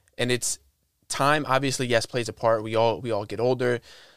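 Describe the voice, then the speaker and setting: On a very clean recording with a silent background, a man with an American accent speaks at a medium pitch. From Iowa City, US Midwest. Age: 20s. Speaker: podcast host and motivational speaker. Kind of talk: casual chat.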